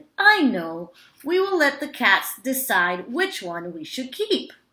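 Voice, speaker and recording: A woman uses a put-on character voice, high in pitch with very wide pitch swings. She delivers it at a fairly slow pace. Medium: read story.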